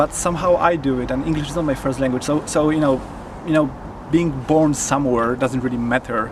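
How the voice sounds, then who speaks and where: Over noticeable background noise, a man with a fairly high voice talks at a fairly quick pace with fairly even intonation. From Poland. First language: Polish. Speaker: videographer. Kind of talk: interview. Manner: halting, many fillers.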